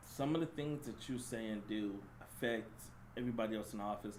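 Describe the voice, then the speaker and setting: A loud, animated man's voice with audible room echo. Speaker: podcast co-host. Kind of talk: casual chat.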